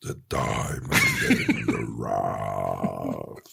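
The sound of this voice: A man's booming, raspy put-on character voice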